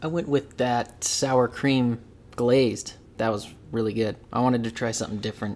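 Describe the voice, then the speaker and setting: An unremarkable speaking voice. It moves at a moderate pace with ordinary pitch variation. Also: man, medium pitch for a man. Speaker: podcast host. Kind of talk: casual chat. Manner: laughs often, jokey.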